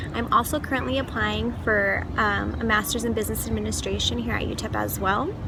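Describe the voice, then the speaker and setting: A woman with an American accent talks at a fairly quick pace. Audible room echo and noticeable background noise come through. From El Paso, Texas. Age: 20s. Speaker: university student. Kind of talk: personal vlog introduction. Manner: chatty.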